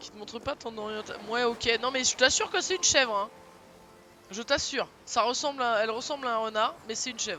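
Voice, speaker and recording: Talking at a fairly quick pace, a man uses an extremely high pitch with ordinary pitch variation and big swings in loudness. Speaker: video game streamer. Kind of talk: live gaming stream commentary. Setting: live stream with webcam.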